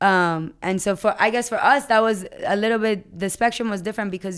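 A woman in a normal speaking voice, medium pitch and fairly even intonation at a fairly quick pace, on a very clean recording with a silent background. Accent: American. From US Virgin Islands. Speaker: podcaster. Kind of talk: casual chat. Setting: radio studio.

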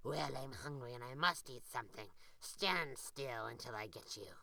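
In a put-on character voice, the speaker growls at a low-to-middle pitch and a moderate pace. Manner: growling.

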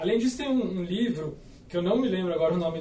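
A man with a high voice for a man talks very fast amid noticeable background noise and audible room echo. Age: 30s. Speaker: startup founder. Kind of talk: podcast panel discussion.

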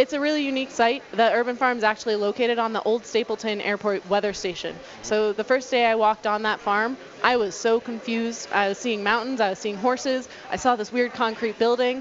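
Noticeable background noise sits under speech that runs at a fairly quick pace with fairly even intonation. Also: woman, fairly high pitch for a woman. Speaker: urban farm representative. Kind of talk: casual chat. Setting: studio.

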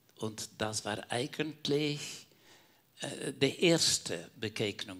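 A man speaks at a very slow pace with ordinary pitch variation. His tone is bright and sharp. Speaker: caregiver, church member. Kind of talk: personal testimony in panel talk.

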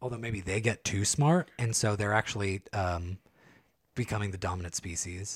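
Somewhat breathy and fairly low in pitch, a man with an American accent speaks with ordinary pitch variation in a very clean recording with a silent background. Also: moderate pace. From California, San Joaquin County. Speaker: podcast co-host. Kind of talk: casual chat.

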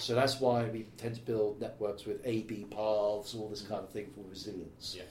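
In a Welsh accent, a man speaks at a moderate pace with hardly any pauses and monotone, flat intonation. His voice is somewhat breathy and fairly low, with audible room echo. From Wales. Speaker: tech company specialist. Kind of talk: casual chat.

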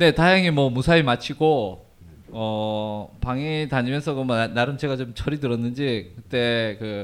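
Speaking fairly slowly in a normal speaking voice, a man at medium pitch uses ordinary pitch variation on a very clean recording with a silent background. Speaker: travel writer and Turkey expert. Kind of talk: casual interview, telling life story. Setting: live event with audience.

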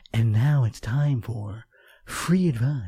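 Someone in a put-on character voice speaks at a fairly slow pace with a low-to-middle pitch. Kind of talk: announcer, presenter. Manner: exaggerated, theatrical.

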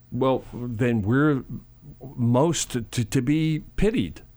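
Recorded very cleanly against a silent background, a man with an American accent talks at medium pitch with ordinary pitch variation. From Chicago, US Midwest. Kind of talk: radio interview. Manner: animated.

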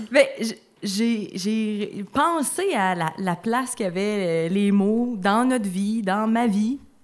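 The woman talks very slowly. Her voice sits at a fairly high pitch. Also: ordinary pitch variation. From Abitibi-Témiscamingue, Quebec. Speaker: author. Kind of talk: reading own text aloud. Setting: stage with audience.

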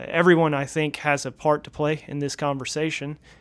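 Speaking fairly quickly with an American accent, the voice comes through on a very clean recording with a silent background. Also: man. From Northeast Florida. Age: 30s. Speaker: pastor. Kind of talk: casual chat.

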